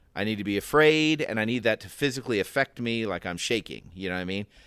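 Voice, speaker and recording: Fairly quick speech with an American accent, a dry, close sound with no echo, and a very clean recording on a silent background. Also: man. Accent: Southern US accent, slips out. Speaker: podcast co-host. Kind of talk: casual Bible discussion.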